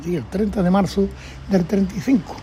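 A man speaks in a dark, mellow tone. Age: 80s+. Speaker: elderly brotherhood member recounting memories. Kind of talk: oral history interview.

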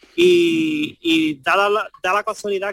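A man speaks at a high pitch in a bright, sharp tone. The sound is dry and close, with no echo. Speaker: flamenco guitarist. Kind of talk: radio interview.

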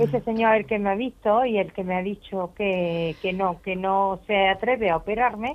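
A woman with an unremarkable speaking voice at medium pitch, moderate pace, hardly any pauses and ordinary pitch variation. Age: 60s. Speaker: caller. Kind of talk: phone-in question. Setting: phone call.

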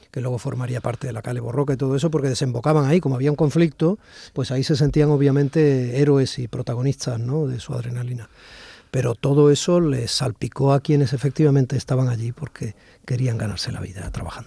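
A man talks at a very fast pace and a medium pitch, with ordinary pitch variation and a somewhat breathy, dark, mellow tone. The sound is dry and close, with no echo. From Basque Country (Cruces, Barakaldo). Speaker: radio host. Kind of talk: radio interview. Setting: studio with a COVID screen.

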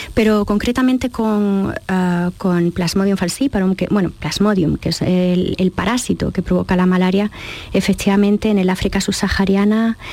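A woman talks in a medium-pitched voice. Her delivery is monotone and flat. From Andalusia, Jaén. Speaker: biochemist and consultant. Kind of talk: radio interview. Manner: halting, many fillers.

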